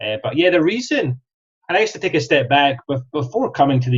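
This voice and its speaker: With a Scottish accent, a man speaks at a fairly quick pace in a somewhat breathy voice. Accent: Scottish, often mistaken for Australian. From Scotland, Kirriemuir near Dundee. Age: 30s. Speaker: franchise sales specialist. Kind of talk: podcast interview. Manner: hesitant, many fillers.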